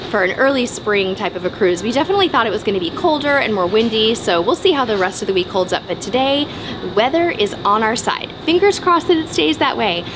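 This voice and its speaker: The speaker talks at a very fast pace over music in the background. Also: woman. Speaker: travel vlogger. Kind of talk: casual vlog chat. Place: boat. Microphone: phone near.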